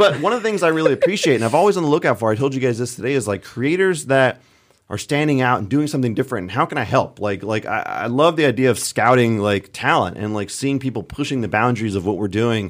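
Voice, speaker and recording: Over a very clean recording with a silent background, a man with an American accent talks at a very fast pace and medium pitch, animated in tone and lively in intonation. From California. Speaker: comedy mountain bike content creator; radio broadcast audio engineer. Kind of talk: casual chat. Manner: jokey, animated.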